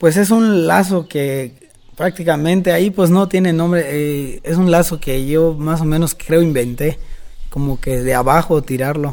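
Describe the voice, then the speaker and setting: At a fairly slow pace, a man with a plain, everyday voice speaks in a fairly high pitch with ordinary pitch variation. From Mexico, Yucatán. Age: 20s. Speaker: rodeo roper and cattle trader. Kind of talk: interview.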